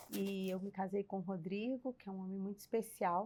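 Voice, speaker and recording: With an unremarkable speaking voice, a woman talks at a moderate pace and a medium pitch, her intonation fairly even. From Brazil, Belo Horizonte. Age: 60s. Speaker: church member, former mission leader. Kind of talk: casual chat.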